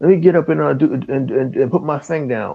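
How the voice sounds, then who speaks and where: This man's voice has vocal fry. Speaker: gaming podcast panelist. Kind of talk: casual chat. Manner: halting, many repeated words; low energy.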